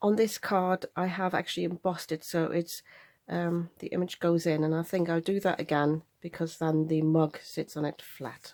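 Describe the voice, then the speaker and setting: The woman's voice is fairly low and has a dark, mellow tone, recorded with a dry, close sound and no echo. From Germany. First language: German. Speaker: craft youtuber. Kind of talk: tutorial. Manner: unscripted, casual.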